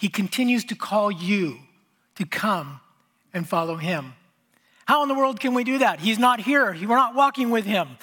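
On a very clean recording with a silent background, a man speaks in a raised, projected voice at a high pitch, with a bright, sharp tone, lively intonation, a moderate pace and long, frequent pauses. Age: 50s. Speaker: pastor. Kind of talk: sermon. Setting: church.

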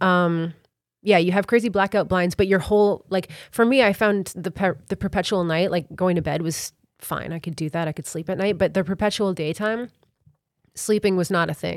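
The speaker has a plain, everyday voice, moving at a moderate pace with ordinary pitch variation. Recording quality is very clean, with a silent background. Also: woman, medium pitch for a woman. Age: 30s. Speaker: singer-songwriter. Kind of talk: casual chat. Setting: studio.

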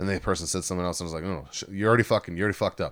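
A man speaks loudly in a fairly low, animated voice. The recording is very clean and the background silent. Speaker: podcast host. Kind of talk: casual drunk chat. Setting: studio with mixer and separate mics. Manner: loud, talkative, animated.

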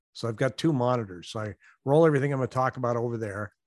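A man with a plain, everyday voice speaks at medium pitch with ordinary pitch variation, the sound dry and close with no echo against a quiet background. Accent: American. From US Pacific Northwest. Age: 60s. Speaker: real estate agent and YouTuber. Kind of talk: casual interview. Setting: video call.

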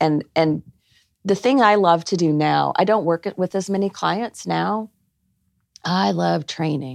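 In an American accent, a woman with a fairly low pitch and lively intonation talks at a fairly slow pace with long, frequent pauses, the sound dry and close with no echo against a quiet background. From Arkansas, US South. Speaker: clinical psychologist and non-profit founder. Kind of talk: podcast interview.

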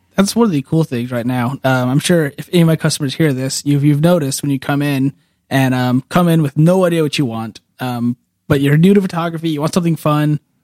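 A man with an American accent and a fairly high pitch speaks at a very fast pace with ordinary pitch variation, in a dry, close sound with no echo. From California Central Valley (Woodlake). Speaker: camera store employee, photographer. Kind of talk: casual chat.

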